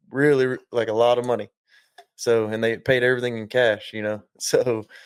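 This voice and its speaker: A man's medium-pitched, monotone voice at a fairly quick pace. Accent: Oklahoma. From Oklahoma. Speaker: spray foam business owner. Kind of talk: casual chat. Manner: halting, many fillers.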